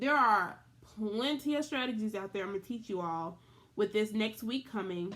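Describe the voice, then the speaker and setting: In a very clean recording with a silent background, a woman with an unremarkable speaking voice talks at a moderate pace and a fairly high pitch, with ordinary pitch variation. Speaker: elementary school teacher. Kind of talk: virtual classroom lesson. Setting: recorded video lesson.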